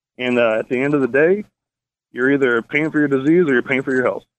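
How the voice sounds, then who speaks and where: At a very fast pace, a man speaks with an American accent and ordinary pitch variation. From US South (Tennessee). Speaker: caller. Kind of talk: testimony. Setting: phone call.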